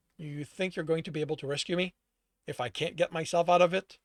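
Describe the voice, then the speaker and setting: Putting on a character voice, a man talks at a very fast pace in a raspy, high pitch with fairly even intonation, in a very clean recording with a silent background and a dry, close sound with no echo. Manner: disbelieving, incredulous.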